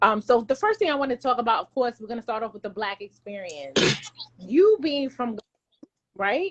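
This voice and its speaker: Her voice high, a woman speaks at a moderate pace with very wide pitch swings. The sound is dry and close, with no echo. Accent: American. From New York. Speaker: show host. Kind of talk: interview.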